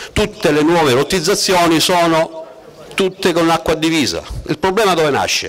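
At a moderate pace, a man speaks in a high pitch with fairly even intonation and very even loudness. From Sicily. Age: 40s. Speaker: surveyor and council candidate; council candidate. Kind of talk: political rally speech. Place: street.

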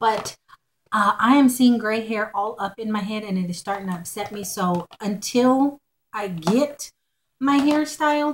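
With an American accent, a woman speaks fairly slowly in a fairly high pitch with ordinary pitch variation. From Texas. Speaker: haul vlogger. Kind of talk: casual haul video monologue. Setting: at home. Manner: chatty with fillers. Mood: cheerful, chatty. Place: home room. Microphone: webcam.

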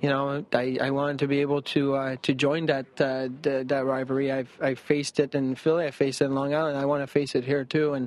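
A man at medium pitch, with little pitch movement, a fairly quick pace and few pauses

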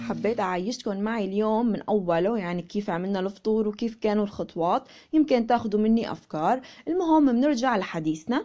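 A woman speaks at a moderate pace with hardly any pauses. Her fairly high voice has a dark, mellow tone and lively intonation. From Syria (Aleppo). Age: 20s. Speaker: lifestyle vlogger. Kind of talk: casual vlog narration.

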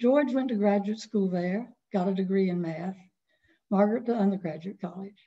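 With an American accent, a woman speaks at a moderate pace in a dark, mellow, somewhat breathy tone. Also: ordinary pitch variation. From North Carolina. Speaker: author; guest. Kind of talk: webinar presentation of memoir. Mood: warm, nostalgic. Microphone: video call.

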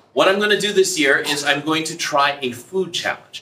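Keeping his intonation fairly even, a man talks at a moderate pace. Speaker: teacher. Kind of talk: casual vlog-style class talk. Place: classroom. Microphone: camera far.

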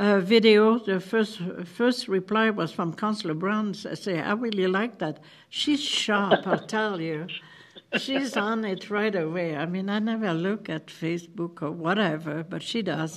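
A woman speaks at a fairly slow pace. Her pitch shows ordinary variation. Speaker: council chair. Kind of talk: meeting report. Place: meeting room. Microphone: podium.

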